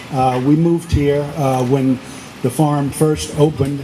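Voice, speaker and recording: The speech moves at a fairly slow pace in a monotone, flat intonation. Noticeable background noise runs underneath. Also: man. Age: 70s. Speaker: devotee sharing memories. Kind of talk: testimony. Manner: halting.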